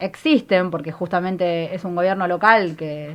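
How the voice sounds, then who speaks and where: A woman with a normal speaking voice, medium pitch and a fairly slow pace. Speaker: feminist activist and candidate. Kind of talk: political interview.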